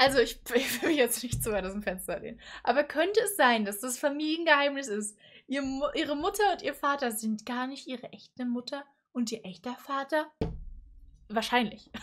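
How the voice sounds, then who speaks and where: Against a quiet background, a woman with a high voice speaks at a moderate pace in an animated tone, her intonation lively and her loudness shifting widely. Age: 20s. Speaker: YouTuber reacting to animated stories. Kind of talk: casual reaction commentary. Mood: amused, puzzled. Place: home room. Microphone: studio mic.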